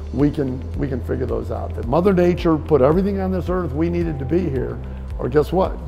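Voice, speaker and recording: A man at a fairly quick pace, with music in the background. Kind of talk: interview answer. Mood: upbeat, proud storytelling. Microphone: lapel.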